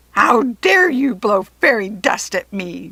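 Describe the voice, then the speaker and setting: A woman puts on a character voice, growling and shrill at medium pitch. She goes at a fairly slow pace with lively intonation. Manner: screeching, indignant.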